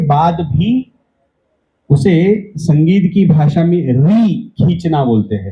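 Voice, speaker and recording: The voice has a dark, mellow tone. Its intonation is lively. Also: man. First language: Marathi (speaking Hindi). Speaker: event organizer giving welcome address. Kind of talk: welcome speech.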